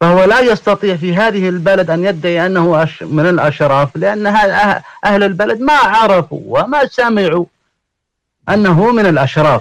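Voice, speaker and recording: A fairly slow pace with very even loudness. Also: man, high pitch for a man. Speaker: genealogist and religious scholar. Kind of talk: panel discussion. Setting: online audio room.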